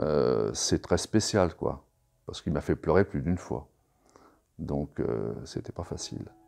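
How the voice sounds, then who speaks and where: A man's very deep, low voice with vocal fry and a dark, mellow tone, very slow, with long, frequent pauses. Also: lively intonation. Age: 60s. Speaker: therapy client giving testimonial. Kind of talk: testimony. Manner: halting, many hesitations.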